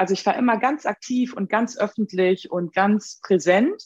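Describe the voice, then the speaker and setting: A woman's medium-pitched, lively-intoned voice, an ordinary speaking voice, recorded dry and close with no echo. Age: 50s. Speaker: upcycling craftswoman and social worker. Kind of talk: interview.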